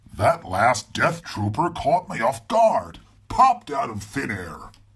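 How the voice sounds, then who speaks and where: In a put-on character voice, a man delivers gruff, rumbling lines at a fairly high pitch and a fairly slow pace, with very wide pitch swings. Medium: read story. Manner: gruff, grumbling.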